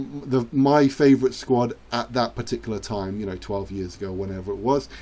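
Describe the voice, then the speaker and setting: With a dark, mellow tone, a man speaks at a moderate pace, medium in pitch with ordinary pitch variation. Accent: English. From England. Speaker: gaming youtuber. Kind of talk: gameplay commentary. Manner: hesitant with fillers; animated.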